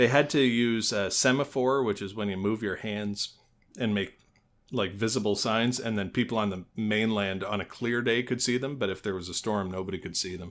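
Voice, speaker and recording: A man at a moderate pace, fairly even intonation, in a very clean recording with a silent background. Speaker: podcast co-host. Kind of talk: casual podcast storytelling. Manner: casual with many fillers.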